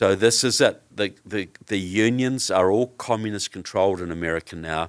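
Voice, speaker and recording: A man with a New Zealand accent and fairly low pitch speaks at a moderate pace with ordinary pitch variation and hardly any pauses, on a very clean recording with a silent background. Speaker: author and researcher on communism. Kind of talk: interview.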